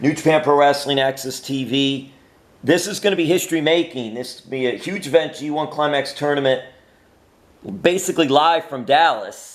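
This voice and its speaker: The speaker has an ordinary speaking voice. The pace is moderate and the intonation fairly even. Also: man, fairly high pitch for a man. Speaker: interviewer. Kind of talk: interview questions.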